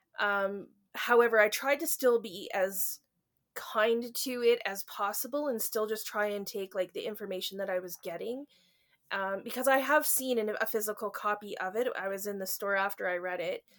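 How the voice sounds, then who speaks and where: Speaking at a moderate pace, a woman with a plain, everyday voice keeps a fairly high pitch and ordinary pitch variation. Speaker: book reviewer. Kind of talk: casual chat.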